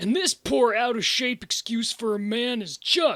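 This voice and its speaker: In a put-on character voice pitched extremely high, a man speaks at a moderate pace with lively intonation, the sound dry and close with no echo. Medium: fan dub. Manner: casual, chummy.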